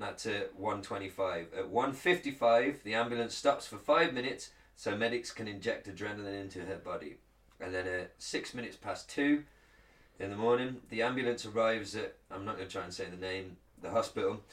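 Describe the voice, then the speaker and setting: With an English accent, a man speaks at a moderate pace and medium pitch, showing ordinary pitch variation and big swings in loudness. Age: 30s. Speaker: podcast co-host. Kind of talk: reading aloud; casual chat. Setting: studio, streamed live on video.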